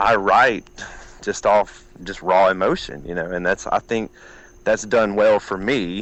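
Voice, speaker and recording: Here a man with a fairly low pitch talks at a moderate pace in an Alabama accent. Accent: Southern US (Alabama). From US South, southeast Alabama. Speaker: country music singer-songwriter. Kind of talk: interview.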